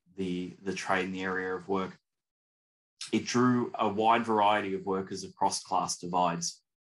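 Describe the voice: Low-pitched with a fairly bright tone, a man talks with fairly even intonation.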